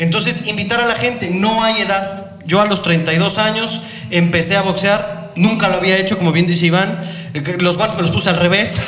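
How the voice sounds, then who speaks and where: The voice keeps fairly even intonation and very even loudness, with audible room echo and noticeable background noise. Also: man, high pitch for a man, moderate pace. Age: 30s. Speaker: boxing radio host. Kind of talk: casual chat.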